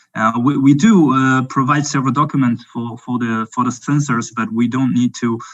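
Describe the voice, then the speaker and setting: In a French accent, a man speaks at a moderate pace. His pitch is medium and his intonation fairly even. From France. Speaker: drone company representative. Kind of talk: webinar Q&A. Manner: halting.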